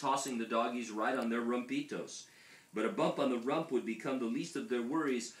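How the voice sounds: Simply a natural reading voice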